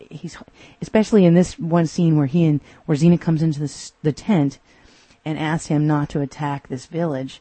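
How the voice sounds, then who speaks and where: In an American accent, a woman speaks at a very deep, low pitch, somewhat breathy, with fairly even intonation. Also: moderate pace. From Texas. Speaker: podcast host. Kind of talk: solo episode review.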